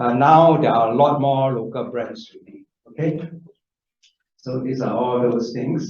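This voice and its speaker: Talking at a fairly slow pace, a man is heard with audible room echo. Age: 60s. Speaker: franchise association leader, moderator. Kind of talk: workshop presentation.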